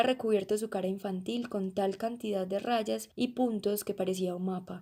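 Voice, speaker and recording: The woman's tone is dark and mellow. She keeps to a moderate pace. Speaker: volunteer reader. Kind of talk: audiobook reading.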